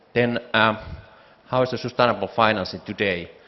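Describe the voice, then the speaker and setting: A man speaks with a Finnish accent. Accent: Finnish accent, noticeable. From Finland. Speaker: founder and CEO of a bioeconomy organization, panelist. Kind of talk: conference panel presentation. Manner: hesitant with fillers.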